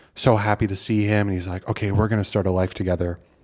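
A man with a Midwestern American accent talks at a very fast pace in a very deep, low pitch. His delivery is monotone and flat, on a very clean recording with a silent background. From US Midwest. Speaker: film podcast co-host. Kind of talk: casual chat.

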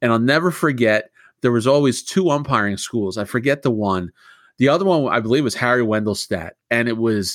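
Against a very clean recording with a silent background, a man with an unremarkable speaking voice talks at a fairly quick pace. His medium pitch carries lively intonation. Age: 30s. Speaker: podcast host. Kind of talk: interview.

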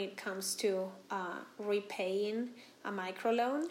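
A woman with a Spanish accent, medium in pitch, with ordinary pitch variation. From Venezuela. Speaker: company founder. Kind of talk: interview.

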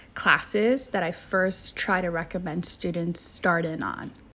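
Talking at a very slow pace in a Californian accent, a woman uses a medium pitch with ordinary pitch variation. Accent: Californian American English. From Southern California, Orange County. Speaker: university admission counselor. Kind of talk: informational podcast interview. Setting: remote recording.

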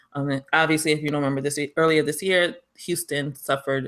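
A woman with a New York accent talks at a fairly quick pace. Her intonation is fairly even in a very clean recording with a silent background. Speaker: podcast co-host. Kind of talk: casual chat.

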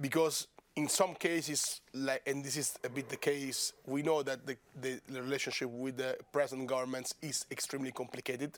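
Talking at a moderate pace, a man with an Italian accent holds a medium pitch in a monotone, flat intonation. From Italy, Rome. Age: 30s. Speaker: member of European Parliament. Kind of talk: casual interview.

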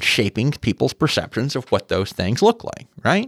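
The man's medium-pitched voice has vocal fry and very wide pitch swings. The sound is dry and close with no echo, on a very clean recording with a silent background. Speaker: museum scientist. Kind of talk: educational chat.

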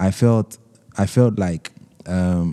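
The voice has a dark, mellow tone and moves at a very slow pace. It's a very clean recording with a silent background. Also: man. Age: young. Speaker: artist and satirical illustrator. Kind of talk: interview. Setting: artist's studio. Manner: soft-spoken; hesitant, many fillers.

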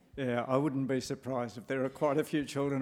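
A man with an Australian accent, fairly high-pitched, talking at a very fast pace. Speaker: panel facilitator and journalist. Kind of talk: moderating a panel discussion. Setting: live talk with audience.

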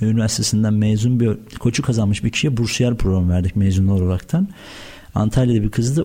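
A man with an ordinary speaking voice talks at a middle pitch, his pitch moving normally. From Turkey, Afyon. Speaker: food trade entrepreneur. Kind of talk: radio interview.

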